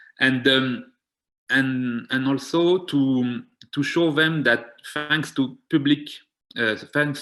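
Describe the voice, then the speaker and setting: Talking very slowly in a French accent, a man keeps his medium-pitched voice fairly even in intonation. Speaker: community health programme organiser. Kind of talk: seminar presentation. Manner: halting, many fillers.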